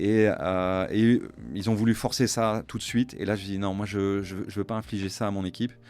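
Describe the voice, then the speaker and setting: The recording is very clean, with a silent background. A man speaks at a moderate pace with a fairly low pitch and fairly even intonation. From Luxembourg. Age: 50s. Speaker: business executive, entrepreneur. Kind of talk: interview conversation. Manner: hesitant, many fillers.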